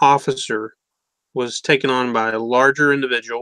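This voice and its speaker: The recording is dry and close, with no echo. A man with an American accent speaks in a bright, sharp tone. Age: 40s. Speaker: podcast host. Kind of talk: interview.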